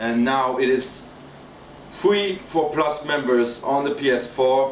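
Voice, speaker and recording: A man with a non-native accent speaks at a very slow pace in a medium pitch, with ordinary pitch variation and very even loudness. Audible room echo and noticeable background noise surround him. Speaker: gaming YouTuber. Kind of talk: let's play commentary. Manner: hesitant, with fillers and repetitions.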